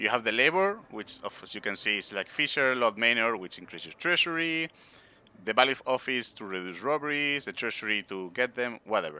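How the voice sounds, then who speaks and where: A man with a Spanish accent talks at a fairly quick pace and medium pitch. His pitch swings very widely and his loudness shifts a lot. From Spain. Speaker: game streamer. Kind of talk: casual gameplay commentary. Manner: halting, with many fillers.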